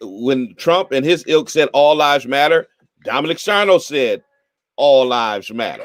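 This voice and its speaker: A man with a normal speaking voice, fairly high pitch, lively intonation and a fairly slow pace. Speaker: bishop and live talk show host. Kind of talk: live talk radio commentary on local politics.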